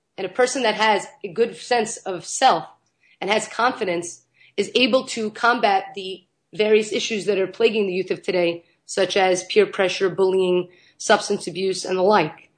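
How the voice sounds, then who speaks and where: A woman of medium pitch speaks at a moderate pace with ordinary pitch variation. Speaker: nonprofit founder and teacher. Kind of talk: interview. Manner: animated.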